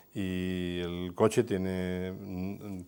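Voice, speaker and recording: A man with a Spanish accent, a very deep, low pitch and a dark, mellow tone, on a very clean recording with a silent background. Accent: Spanish (Spain). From Spain. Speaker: law professor moderating a TV discussion. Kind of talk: educational TV panel discussion.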